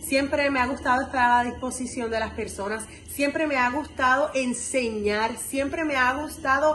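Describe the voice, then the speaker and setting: Over noticeable background noise and audible room echo, a woman with a high pitch talks at a moderate pace with ordinary pitch variation. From Puerto Rico, Camuy. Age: 20s. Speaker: university student leader. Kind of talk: testimonial interview answers.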